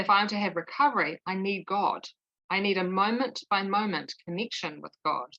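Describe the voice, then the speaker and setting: A woman at a medium pitch speaks at a moderate pace in a bright, sharp tone, the sound dry and close with no echo. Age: 50s. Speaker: twelve-step group member. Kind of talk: testimony.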